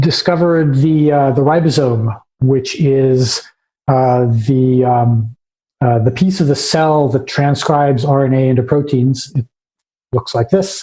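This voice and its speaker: At a fairly slow pace, a man speaks in a dark, mellow tone, somewhat breathy, with very even loudness and fairly even intonation. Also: medium pitch for a man. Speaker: science history lecturer. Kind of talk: lecture. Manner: halting with many fillers.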